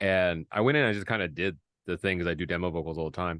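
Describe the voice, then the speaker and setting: Very fast and very deep, a man with a Midwestern American accent talks with ordinary pitch variation, dry and close with no echo against a quiet background. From Indiana, US Midwest. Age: 40s. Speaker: songwriter and content creator. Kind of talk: casual interview chat. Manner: halting, many fillers and restarts.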